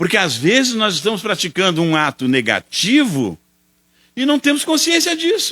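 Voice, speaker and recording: A man talks in a raised, projected voice at a fairly slow pace. His high, bright, sharp voice swings very widely in pitch. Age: 70s. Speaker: spiritist lecturer. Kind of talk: lecture.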